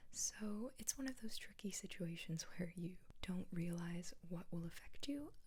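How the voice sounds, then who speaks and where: Soft-spoken and somewhat breathy, a woman with an American accent talks in a calm, gentle tone at medium pitch with ordinary pitch variation. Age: 20s. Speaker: ASMR and mental health content creator. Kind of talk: soft-spoken ASMR-style educational chat to camera. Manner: soft-spoken, calm, gentle.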